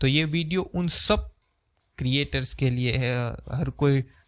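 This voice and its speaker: The recording is very clean, and the background is silent. In it, a man talks at a medium pitch with ordinary pitch variation. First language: Gujarati (speaking Hindi). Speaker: YouTuber, video editing creator. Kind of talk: unscripted vlog talk to camera. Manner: conversational, unstructured.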